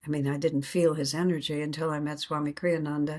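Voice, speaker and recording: In a flat monotone, a woman with a very deep, low pitch speaks with an American accent. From United States. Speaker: spiritual teacher. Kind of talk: interview.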